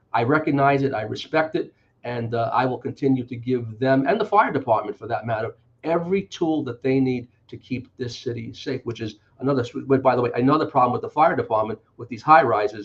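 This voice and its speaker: Big swings in loudness mark a man's medium-pitched voice. He talks with a New York accent. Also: ordinary pitch variation, fairly quick pace. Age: 60s. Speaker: politician. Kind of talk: interview.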